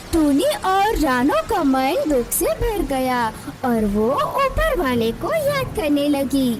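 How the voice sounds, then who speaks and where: A cartoonish character voice speaks at a fairly slow pace with a high pitch. Loud background noise runs behind it. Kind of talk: moral story narration. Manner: sympathetic, dramatic.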